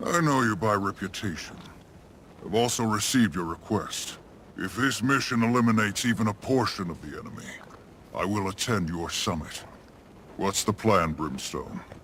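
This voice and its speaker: Over clear background noise, a man with a fairly low pitch does a put-on character voice. He moves at a moderate pace with lively intonation and long, frequent pauses. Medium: video game. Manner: measured, authoritative.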